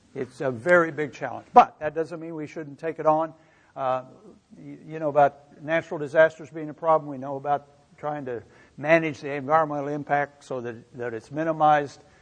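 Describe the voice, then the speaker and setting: A man with a Midwestern American accent talks at a fairly quick pace in a fairly high pitch, his intonation fairly even but his loudness swinging widely. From US Midwest, Missouri. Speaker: energy researcher. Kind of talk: lecture. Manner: halting.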